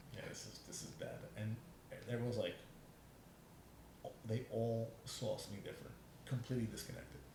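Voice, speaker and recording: A man talks at medium pitch and a fairly quick pace. Room echo is audible. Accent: American. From New York City. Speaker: podcast guest, trained actor. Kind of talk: casual interview chat. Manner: fast; halting, many restarts.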